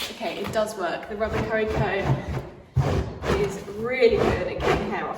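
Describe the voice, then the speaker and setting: A woman with a British accent speaks at a medium pitch. There is noticeable background noise and audible room echo. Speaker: equestrian vlogger. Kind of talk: casual vlog; tutorial narration. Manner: soft-spoken.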